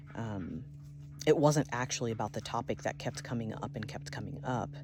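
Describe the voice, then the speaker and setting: A woman speaks in a very deep, low voice with a calm tone at a moderate pace. Noticeable noise runs in the background. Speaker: video blogger. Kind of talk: personal vlog monologue. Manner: many filler ums.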